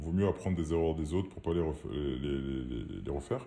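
In a dark, mellow tone, a man speaks fairly quickly. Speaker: entrepreneur. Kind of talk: casual chat. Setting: remote recording.

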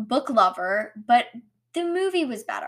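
A woman speaks at a fairly slow pace in an animated tone. The recording is very clean, with a silent background. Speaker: solo podcast host reviewing books. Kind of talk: casual monologue. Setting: home recording with microphone and camera.

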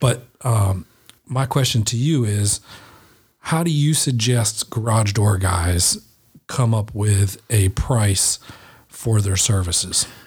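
The speech moves at a very slow pace, with long, frequent pauses and ordinary pitch variation. The voice is somewhat breathy, its loudness very even. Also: man, fairly low pitch for a man. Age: 40s. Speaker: podcast host, garage door company owner. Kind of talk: podcast interview. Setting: studio.

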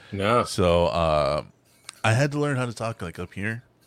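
An American-accented male voice, its intonation lively. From Texas. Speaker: podcast co-host and voice actor. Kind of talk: casual chat. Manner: animated, casual, profane.

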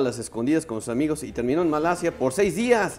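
At a very fast pace, a man with a fairly high pitch talks with lively intonation. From Puebla, Mexico. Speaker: radio co-host. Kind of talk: casual chat.

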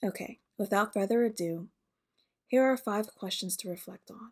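On a very clean recording with a silent background, a woman speaks at a moderate pace and medium pitch with ordinary pitch variation.

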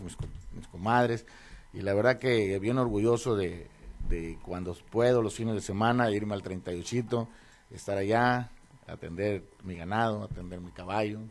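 With an unremarkable speaking voice, a man talks at a moderate pace in a fairly low pitch, his intonation fairly even but his loudness swinging widely. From northern Mexico, Los Mochis, Sinaloa. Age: 50s. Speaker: politician, mayoral candidate. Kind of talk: radio interview. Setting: radio studio.

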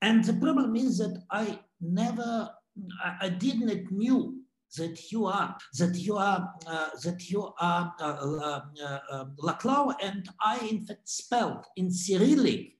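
A man with a Russian accent, high in pitch, at a very slow pace with ordinary pitch variation. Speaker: art curator. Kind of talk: interview reflection. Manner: halting, many repetitions and fillers.

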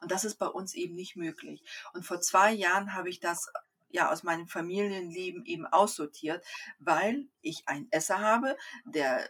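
A woman speaks at a moderate pace in an unremarkable speaking voice, her intonation lively. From Kazakhstan, came to Germany at eight. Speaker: Human Design coach, mother of four. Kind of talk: casual interview.

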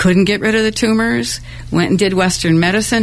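Noticeable background noise runs behind a woman whose pitch varies in an ordinary way. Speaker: singer-songwriter. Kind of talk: casual interview. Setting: studio.

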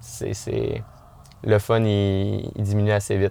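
A man with a Quebec accent speaks very slowly at a fairly low pitch on a very clean recording with a silent background. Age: 20s. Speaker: mountain bike coach. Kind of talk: podcast interview.

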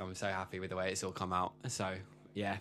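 A man is speaking. Music plays in the background. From London. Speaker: musician. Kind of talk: casual chat.

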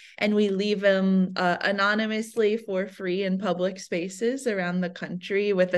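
An ordinary speaking voice comes through with an American accent and fairly even intonation. The background is quiet. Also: woman. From US Midwest. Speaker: artist and writer. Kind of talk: casual interview chat. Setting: video call.

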